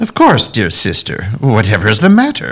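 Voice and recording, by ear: Putting on a character voice, a man speaks at a moderate pace in a fairly low pitch with vocal fry and very wide pitch swings.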